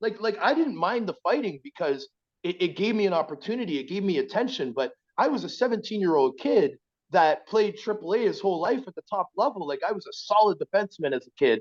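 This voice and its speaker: A man with an Ontario accent speaks at a high pitch and a fairly quick pace. The sound is dry and close, with no echo. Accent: Canadian (Ontario). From Ontario, Scarborough (Toronto). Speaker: former pro hockey player. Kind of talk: casual interview. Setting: podcast.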